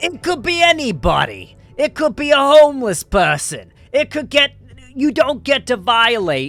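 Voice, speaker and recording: A put-on character voice in a New York accent sounds raspy and guttural at a high pitch, moving at a moderate pace with music in the background. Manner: impression voice, forced.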